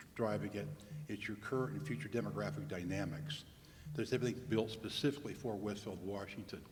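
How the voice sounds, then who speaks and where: With an American accent, a man talks at a fairly quick pace with ordinary pitch variation, and audible room echo surrounds him. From Indiana, Fort Wayne. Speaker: demographer. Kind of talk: presentation. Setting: public meeting with audience.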